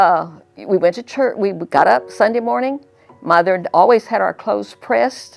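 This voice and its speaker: This woman has a Texan accent. She talks at a moderate speed. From South Texas. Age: 80s+. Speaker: church member. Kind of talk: testimony. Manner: halting.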